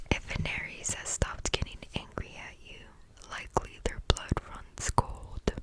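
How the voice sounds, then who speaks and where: A woman whispers at a fairly slow pace. Noticeable background noise runs behind her. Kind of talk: ASMR book reading, relaxing. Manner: whispered, soft-spoken.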